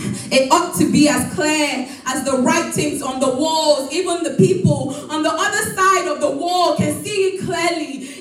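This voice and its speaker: A high-pitched woman at a fairly slow pace, lively in intonation, amid noticeable background noise. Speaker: spoken word poet. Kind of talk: spoken word poetry performance.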